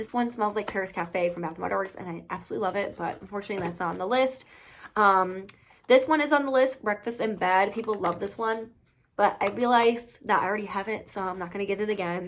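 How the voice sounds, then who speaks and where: Talking at a very fast pace, a woman holds a medium pitch with ordinary pitch variation. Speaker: beauty and fragrance YouTuber. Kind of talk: casual product review vlog. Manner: chatty, filler-heavy.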